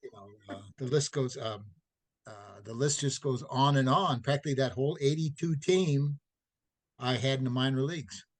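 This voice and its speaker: A man talks at a moderate pace in a medium-pitched, somewhat breathy voice. His pitch varies in an ordinary way, while his loudness swings widely. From St. Louis, Missouri. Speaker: retired athletic trainer. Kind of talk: interview.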